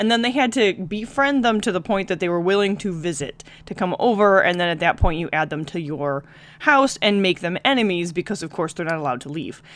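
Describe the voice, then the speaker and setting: Speaking at a medium pitch and a fairly quick pace, a woman sounds animated. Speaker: gaming YouTuber. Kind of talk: let's play commentary. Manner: fast.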